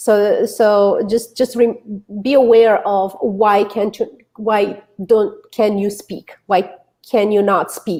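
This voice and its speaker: Very slowly and with monotone, flat intonation, a woman with a Romanian accent speaks in a dark, mellow tone at a fairly high pitch. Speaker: author and public speaker. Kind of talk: interview chat.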